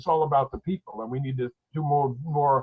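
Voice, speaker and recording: Somewhat breathy and fairly high in pitch, a man speaks at a very fast pace with fairly even intonation. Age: 70s. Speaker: professor. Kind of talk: panel discussion.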